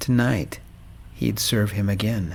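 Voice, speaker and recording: Soft-spoken and with vocal fry, a man talks at a very slow pace with ordinary pitch variation. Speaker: audiobook narrator. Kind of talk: romance story narration.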